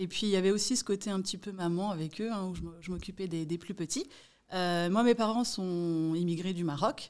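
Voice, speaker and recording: A normal speaking voice at a fairly quick pace with ordinary pitch variation, in a very clean recording with a silent background. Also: woman. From Paris region, France (Malakoff, Hauts-de-Seine). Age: 40s. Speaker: real estate agent. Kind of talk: podcast interview.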